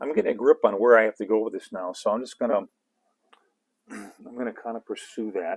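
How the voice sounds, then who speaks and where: Heard dry and close with no echo, a man talks at a fairly quick pace with long, frequent pauses and big swings in loudness. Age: 60s. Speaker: comic artist and illustrator. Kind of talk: livestream painting demo with Q&A. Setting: home studio livestream. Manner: halting, many fillers and repetitions.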